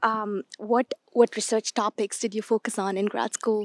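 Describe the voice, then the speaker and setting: The recording sounds dry and close, with no echo. A woman speaks at a fairly slow pace. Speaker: interviewer. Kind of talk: interview.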